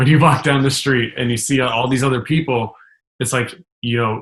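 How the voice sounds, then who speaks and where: A man talks with a medium pitch. His pace is moderate. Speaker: business coach. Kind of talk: coaching session conversation. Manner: upbeat, enthusiastic.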